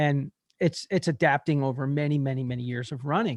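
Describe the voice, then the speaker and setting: A man with a normal speaking voice talks at a fairly high pitch and a moderate pace, with fairly even intonation and a quiet background. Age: 60s. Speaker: podcast host, marathon runner. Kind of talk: casual interview chat.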